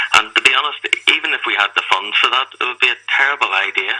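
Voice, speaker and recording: A man talks with a Belfast accent. Noticeable background noise can be heard. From Northern Ireland, Belfast. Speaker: campaigner for a secularist group. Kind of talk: radio interview.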